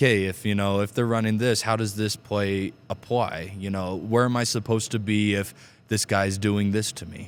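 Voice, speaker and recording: A man's fairly low voice at a moderate pace. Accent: American. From Utah. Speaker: high school basketball coach. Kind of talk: podcast interview. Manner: animated.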